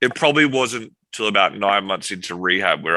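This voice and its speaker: On a very clean recording with a silent background, a man with an Australian accent speaks at a moderate pace in a bright, sharp, fairly low voice. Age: 30s. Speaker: military veteran and tech company founder. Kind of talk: interview testimony.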